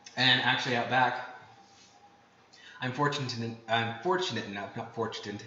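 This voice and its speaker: There is audible room echo and noticeable background noise. A man speaks at a medium pitch. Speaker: cooking streamer. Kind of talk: live cooking stream with chat. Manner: fast; excited.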